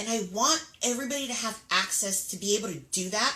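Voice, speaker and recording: A woman projects her raised voice over noticeable background noise, with audible echo from the room. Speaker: makeup artist and beauty business owner. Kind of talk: casual live stream chat. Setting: live video stream. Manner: chatty, lots of filler words.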